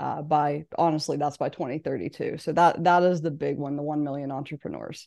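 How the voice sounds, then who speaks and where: Over a quiet background, a woman with an American accent speaks in a very deep, low pitch, at a moderate pace with ordinary pitch variation. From West Virginia. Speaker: business coach and author. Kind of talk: interview.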